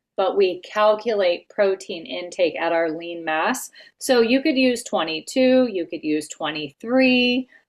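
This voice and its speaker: An ordinary speaking voice goes at a fairly slow pace with hardly any pauses. The intonation is lively. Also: woman, medium pitch for a woman. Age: 50s. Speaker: health coach trainer. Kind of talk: casual coaching call tutorial.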